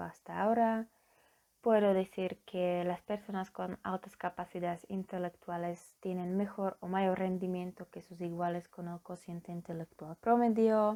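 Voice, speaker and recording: At a fairly slow pace, a woman with a Slovak accent speaks in a medium pitch with monotone, flat intonation and a dark, mellow tone, the sound dry and close with no echo on a very clean recording with a silent background. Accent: foreign accent, Slovak. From Slovakia. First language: Slovak (speaking Spanish). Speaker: psychology student. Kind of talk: conference presentation. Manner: formal; halting.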